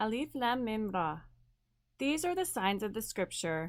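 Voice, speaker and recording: A woman speaks at a fairly high pitch in an ordinary speaking voice. The recording is very clean, with a silent background. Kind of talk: scripture reading. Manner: calm.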